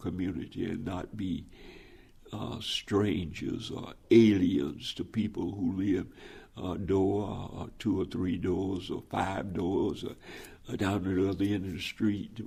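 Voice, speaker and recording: A man with an American accent speaks at a fairly low pitch and a fairly slow pace. His dark, mellow tone is somewhat breathy. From US South. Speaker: pastor. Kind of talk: oral history interview.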